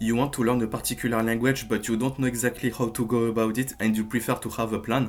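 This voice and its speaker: A man rattles along at a very fast pace with hardly any pauses, at a medium pitch, with monotone, flat intonation and very even loudness. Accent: French. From France. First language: French. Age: 20s. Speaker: language learning youtuber. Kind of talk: tutorial. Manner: hesitant, with frequent fillers.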